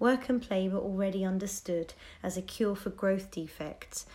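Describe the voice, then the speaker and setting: A woman speaks at a medium pitch with a dark, mellow tone that is somewhat breathy. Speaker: podcast host summarizing a book. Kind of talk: book summary narration.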